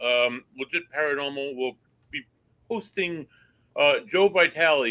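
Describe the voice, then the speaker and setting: A man speaks in a bright, sharp tone with ordinary pitch variation, in dry, close sound with no echo. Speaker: paranormal investigator co-host. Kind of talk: casual live show chat, show announcements.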